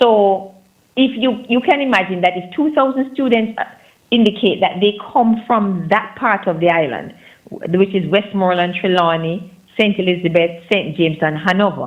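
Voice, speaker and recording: A woman speaks in a Jamaican accent at a medium pitch. Her intonation is lively. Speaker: nonprofit foundation representative. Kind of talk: radio interview. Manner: fast.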